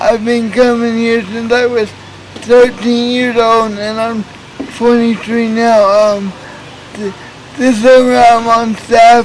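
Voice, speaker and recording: Against noticeable background noise, a man with an American accent speaks very slowly in an extremely high, monotone voice with flat intonation and long, frequent pauses. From Oklahoma, Tulsa. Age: 20s. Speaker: youth minister. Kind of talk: interview testimony. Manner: halting, stuttering.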